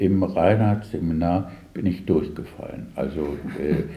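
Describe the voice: A man speaks in a low, dark, mellow voice at a fairly slow pace. Room echo is audible. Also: ordinary pitch variation.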